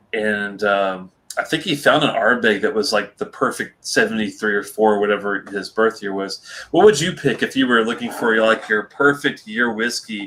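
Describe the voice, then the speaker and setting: Ordinary pitch variation runs through a normal speaking voice. The delivery keeps a moderate pace. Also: man, medium pitch for a man. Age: 40s. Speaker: whisky reviewer. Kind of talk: casual chat.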